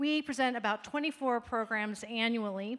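A woman with a fairly high pitch uses ordinary pitch variation and speaks at a moderate pace. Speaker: event host. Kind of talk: formal event introduction. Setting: stage with audience. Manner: formal. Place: stage. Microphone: handheld.

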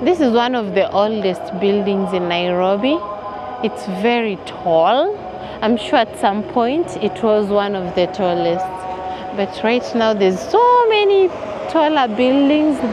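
A woman speaks at a fairly slow pace with long, frequent pauses. The sound is dry with no echo, though there is noticeable background noise. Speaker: walking tour vlogger. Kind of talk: casual vlog chat. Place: street.

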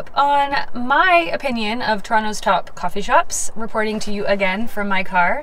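Light background noise is present. A woman talks over it. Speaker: vlogger. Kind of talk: casual vlog chat. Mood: upbeat and friendly. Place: car. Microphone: phone near.

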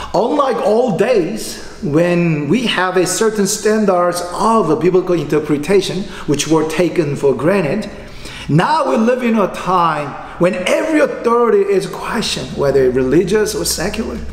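Lively intonation and a moderate pace mark this man's high-pitched voice, heard with audible room echo. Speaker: pastor. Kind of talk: sermon. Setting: online livestreamed church service. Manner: formal. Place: church. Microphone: podium.

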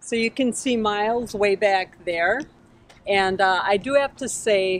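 A woman speaks with ordinary pitch variation in a dry sound with no echo. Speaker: RV travel vlogger. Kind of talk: casual vlog chat. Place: street.

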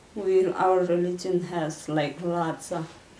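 A woman speaks in a flat monotone at a fairly low pitch, with a Nepali accent. Room echo is audible, along with light background noise. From Nepal, Langtang Valley. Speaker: earthquake victims' relative. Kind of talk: interview answer. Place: home room.

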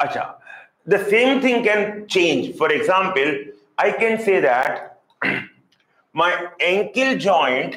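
A man talks at a very slow pace, with audible room echo. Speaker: teacher. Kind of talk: lecture. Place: classroom. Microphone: lapel.

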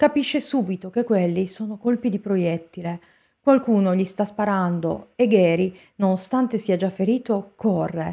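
A woman speaks at a moderate pace in a serious tone. Her voice is dark and mellow, with lively intonation. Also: quiet background. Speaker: true crime narrator. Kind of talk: true-crime narration. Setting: studio, solo video narration. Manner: measured, serious storytelling. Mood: serious, suspenseful. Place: home room. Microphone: studio mic.

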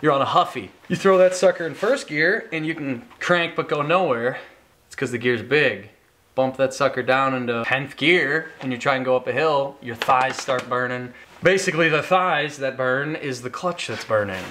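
The speaking pace is moderate. Pitch variation is ordinary. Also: man. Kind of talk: casual vlog explanation. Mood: playful, joking. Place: garage. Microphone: camera far.

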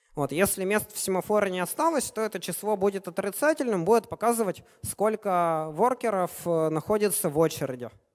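High in pitch, a man talks with lively intonation. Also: fairly quick pace, quiet background. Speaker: software developer, conference speaker; conference speaker. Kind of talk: conference talk. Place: hall.

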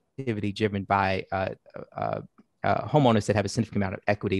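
Against a quiet background, a man talks with a dry sound and no echo. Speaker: guest. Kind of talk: interview answer. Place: home room. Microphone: headset.

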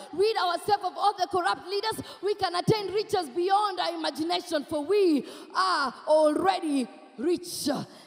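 A woman with a Kenyan accent speaks at a moderate pace with an extremely high pitch and ordinary pitch variation, against a quiet background. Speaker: spoken word poet. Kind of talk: spoken word poetry performance. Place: stage. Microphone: handheld.

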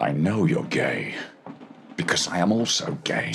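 A man with a fairly low pitch speaks with very wide pitch swings against clear background noise. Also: moderate pace. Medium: fan dub. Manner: sly, mocking.

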